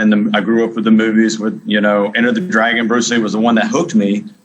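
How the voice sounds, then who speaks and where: A man with an American accent, medium pitch and ordinary pitch variation, over noticeable background noise. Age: 40s. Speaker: martial arts coach. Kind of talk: interview.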